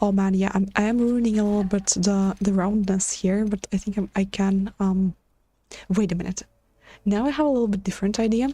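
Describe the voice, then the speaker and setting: Quiet and somewhat breathy, a woman with a medium pitch speaks at a fairly quick pace, keeping fairly even intonation and very even loudness. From Latvia, Riga. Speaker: game streamer. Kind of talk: casual livestream chat. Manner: halting, stutters.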